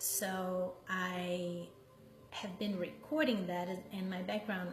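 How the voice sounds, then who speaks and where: Over background music and audible room echo, a woman with a Brazilian accent speaks very slowly at a medium pitch. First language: Portuguese. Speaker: meditation teacher. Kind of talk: casual chat. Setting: live stream. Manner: halting, with many fillers.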